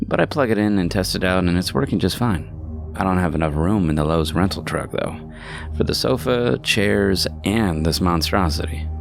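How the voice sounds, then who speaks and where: A man's very deep, low voice at a moderate pace, its loudness very even, with music playing in the background. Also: lively intonation. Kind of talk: horror story narration.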